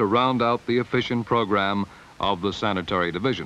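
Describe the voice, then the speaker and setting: An ordinary speaking voice belongs to a man with an American accent who talks at a fairly quick pace, at medium pitch, with ordinary pitch variation. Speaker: narrator. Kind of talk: 1950s civic promotional film narration, scripted and read. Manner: earnest and promotional, rhythmic and declamatory, with stock phrases.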